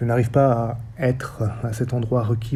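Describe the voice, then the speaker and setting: A man with a dark, mellow tone speaks at a medium pitch, somewhat breathy. His intonation is monotone and flat, and room echo is audible. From French Basque Country. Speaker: theatre director and researcher. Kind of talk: lecture. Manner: formal.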